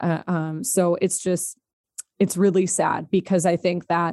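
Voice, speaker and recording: A woman speaks fairly slowly with a fairly low pitch, a dark, mellow tone and fairly even intonation, the sound dry and close with no echo against a quiet background. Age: 20s. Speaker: nonprofit anti-trafficking worker. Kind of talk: interview conversation. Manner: halting.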